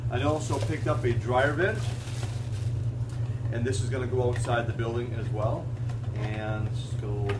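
Man at a moderate pace amid loud background noise. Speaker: presenter. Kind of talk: tutorial. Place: garage. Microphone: camera far.

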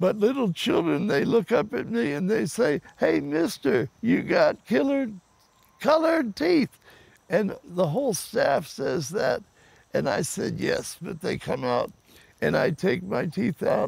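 The voice moves at a very slow pace with very wide pitch swings, in a dry sound with no echo. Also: man. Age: 80s+. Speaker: counterculture figure and camp founder. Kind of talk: storytelling to camera. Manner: playful, joyous. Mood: playful, humorous. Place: garden.

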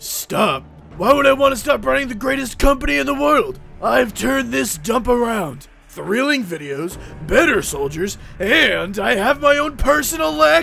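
The voice is raised and projected, moving at a moderate pace with very wide pitch swings. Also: man, high pitch for a man. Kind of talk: comic overacting. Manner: arrogant, gloating.

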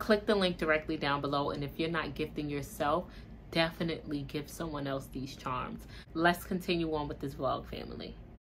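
A woman's very deep, low voice with vocal fry, fairly even intonation and a fairly quick pace, over light background noise. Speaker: vlogger. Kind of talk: casual vlog chat. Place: home room.

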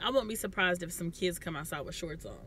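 A woman with ordinary pitch variation, in a dry, echo-free recording with light background noise. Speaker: family vlogger. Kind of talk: casual vlog chat. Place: car. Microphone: phone near.

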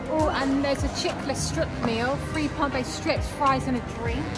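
A woman speaks at a fairly slow pace over loud music in the background. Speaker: family vlogger. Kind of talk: casual vlog chat. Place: shop. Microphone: phone near.

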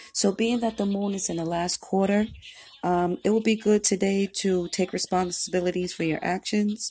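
A woman at a moderate pace with fairly even intonation. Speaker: tarot reader. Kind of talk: casual vlog chat. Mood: calm, relaxed.

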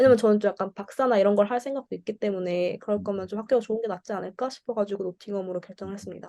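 A woman with a dark, mellow tone and medium pitch talks very fast with hardly any pauses and fairly even intonation. Her loudness swings widely, and the sound is dry and close with no echo. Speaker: international student. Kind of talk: student seminar talk.

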